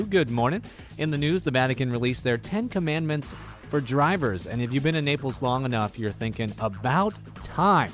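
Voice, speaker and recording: With music in the background, a man speaks at a moderate pace and medium pitch, using lively intonation. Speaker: radio DJ on a military radio station. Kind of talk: radio host aircheck, upbeat.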